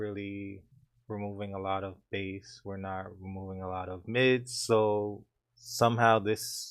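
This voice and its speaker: Big swings in loudness from a man with a fairly low voice, on a very clean recording with a silent background. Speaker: music producer and recording artist. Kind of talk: tutorial. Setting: home studio. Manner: casual, hesitant with fillers.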